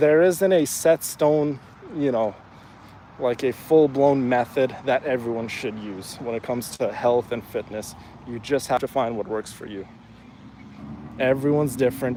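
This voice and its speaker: With an Iranian accent, a man speaks at a moderate pace and a medium pitch, with ordinary pitch variation. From Afghanistan. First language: Farsi. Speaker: fitness streamer. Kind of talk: live stream chat. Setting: outdoors, walking in neighborhood. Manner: halting, many fillers.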